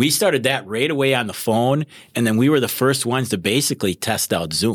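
A man's unremarkable speaking voice with lively intonation at a moderate pace, in a very clean recording over a silent background. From Wisconsin. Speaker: criminal prosecutor. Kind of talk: casual interview.

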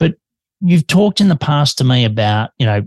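The speaker is a man with an Australian accent. He talks at a moderate pace, with a dry, close sound with no echo. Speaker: podcast host. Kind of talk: interview.

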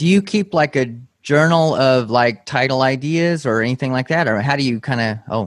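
This man has a plain, everyday voice at medium pitch with ordinary pitch variation. He talks at a moderate pace. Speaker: podcast host. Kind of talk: interview conversation.

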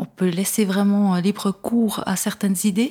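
A woman with a dark, mellow tone and medium pitch talks fairly slowly, somewhat breathy, her intonation fairly even. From Switzerland, Neuchâtel. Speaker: first-time fiction author. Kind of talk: interview. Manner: hesitant, many fillers.

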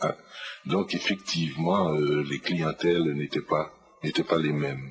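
With music playing in the background, a man talks at a very slow pace. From Haiti, Port-au-Prince. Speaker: writer. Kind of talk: radio interview, life story. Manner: hesitant, many fillers (euh, hein).

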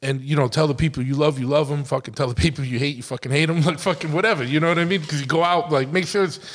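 A man with an American accent and fairly high pitch speaks at a very fast pace with ordinary pitch variation. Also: hardly any pauses. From Massachusetts, New England. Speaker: podcast host. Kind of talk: casual chat. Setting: motorcycle shop.

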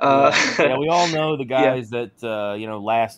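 A man with a rural Southern US accent and ordinary pitch variation. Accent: American Southern, rural drawl. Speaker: podcast co-host.

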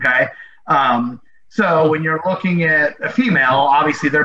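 Fairly high-pitched speech from a man, ordinary in its pitch variation, against noticeable background noise. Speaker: athletic trainer. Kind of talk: casual interview chat. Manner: hesitant, filler-heavy.

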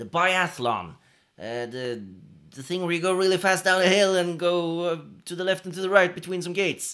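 On a very clean recording with a silent background, a man speaks in a high pitch with a Norwegian accent. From Norway. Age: 30s. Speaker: podcast co-host. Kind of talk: casual chat. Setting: living room. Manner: animated.

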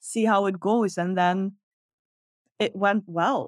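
With a Dutch accent, a woman talks at a medium pitch with ordinary pitch variation, the sound dry and close with no echo. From Netherlands. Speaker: content creator. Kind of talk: casual interview storytelling.

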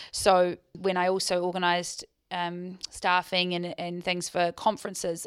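On a very clean recording with a silent background, a woman with a New Zealand accent speaks at a fairly low pitch and a moderate pace. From New Zealand, Queenstown. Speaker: business owner and marketing director. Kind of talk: interview.

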